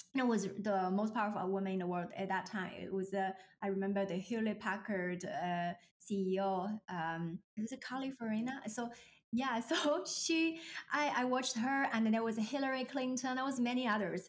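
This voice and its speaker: A woman with a Chinese accent, fairly high pitch, lively intonation and a moderate pace. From China. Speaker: leadership coach. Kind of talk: casual interview chat.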